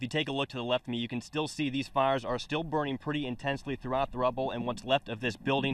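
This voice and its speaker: A man speaks at a medium pitch with fairly even intonation. He talks very fast, with hardly any pauses. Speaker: TV news weekend anchor and reporter. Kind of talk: on-location reporter stand-up.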